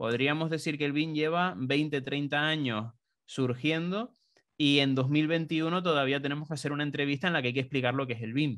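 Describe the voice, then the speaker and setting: The man's voice sits at a fairly high pitch. The background is quiet. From Canary Islands (Tenerife); Canary Islands. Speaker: BIM consultant; interviewee. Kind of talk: interview. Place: home room. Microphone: studio mic.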